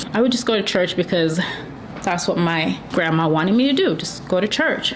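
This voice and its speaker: A woman's medium-pitched voice at a moderate pace, with noticeable background noise and audible room echo. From Jamaica. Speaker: YouTuber sharing faith testimony. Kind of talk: testimony. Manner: casual, conversational.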